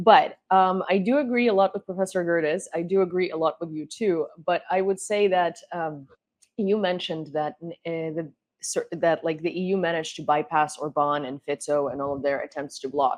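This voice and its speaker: At a moderate pace, a woman with a Ukrainian accent speaks at a fairly low pitch with ordinary pitch variation. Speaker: political talk show host. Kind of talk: panel discussion.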